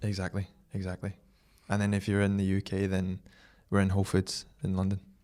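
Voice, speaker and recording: A dark, mellow voice with a Scottish accent speaks at a fairly quick pace in a flat monotone, captured in a very clean recording with a silent background. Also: man, fairly low pitch for a man. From Scotland, Glasgow. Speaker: brand founder and athlete. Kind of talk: podcast interview.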